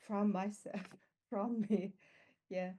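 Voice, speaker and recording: Her voice medium in pitch and dark and mellow in tone, a woman speaks with a non-native accent. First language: not English. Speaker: team coaching graduate, full-time coach. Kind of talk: online event testimony. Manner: halting, many fillers.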